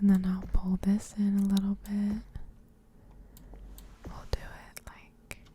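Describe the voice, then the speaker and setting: Whispering can be heard from a woman. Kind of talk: ASMR gameplay narration. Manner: soft-spoken, slow, relaxing.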